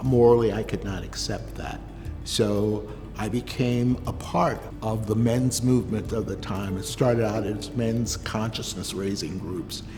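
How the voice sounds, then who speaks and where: With music in the background, a man speaks at a fairly slow pace. His pitch is fairly low and his intonation fairly even. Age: 70s. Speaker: LGBTQ+ rights activist. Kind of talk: interview answer.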